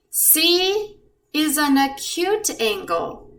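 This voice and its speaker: A woman's voice with audible room echo. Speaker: math teacher. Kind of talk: tutorial. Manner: slow; calm.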